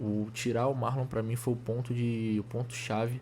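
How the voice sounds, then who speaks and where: A man's somewhat breathy voice sits at medium pitch, delivered in a monotone, flat intonation. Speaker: football fan commentator. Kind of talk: casual video commentary. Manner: fast; halting, many restarts.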